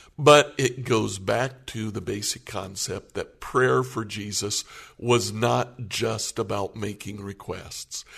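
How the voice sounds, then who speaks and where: Very slowly and with vocal fry, a man speaks at a fairly low pitch against a quiet background. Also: ordinary pitch variation. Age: 60s. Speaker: pastor. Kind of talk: casual chat.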